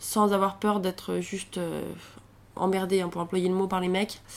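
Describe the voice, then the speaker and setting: A woman with a medium pitch talks at a moderate pace, her intonation monotone and flat. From rural central France (Allier). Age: 20s. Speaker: traveller. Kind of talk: interview testimony. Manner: casual, hesitant.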